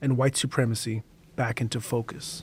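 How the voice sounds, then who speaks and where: A man with a dark, mellow tone speaks at a fairly quick pace, sounding somewhat breathy. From Canada (Toronto), East African heritage. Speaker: podcast host and narrator. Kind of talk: documentary narration and interview.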